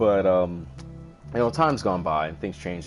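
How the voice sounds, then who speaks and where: With music in the background, a man speaks very fast in a very deep, low pitch that varies in an ordinary way. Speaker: gaming streamer. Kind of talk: casual chat. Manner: loud; halting.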